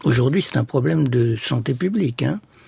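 A man speaks at a moderate pace and a medium pitch. His voice is somewhat breathy. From Egypt. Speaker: ethnopsychiatrist. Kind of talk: radio interview.

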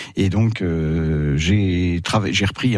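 A man's very deep, low voice. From Paris, France. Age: 60s. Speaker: retired winemaker. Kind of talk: radio interview. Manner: halting.

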